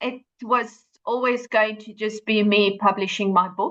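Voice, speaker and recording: A woman with a South African accent, bright and sharp in tone, at a moderate pace. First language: Afrikaans. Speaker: author and running coach. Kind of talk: podcast interview. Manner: hesitant with fillers.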